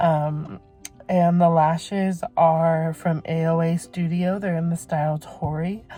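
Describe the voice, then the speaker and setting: Over music in the background, a woman talks in a fairly low pitch with monotone, flat intonation. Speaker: beauty vlogger. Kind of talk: casual vlog talk. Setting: in a car. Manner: halting, stuttering.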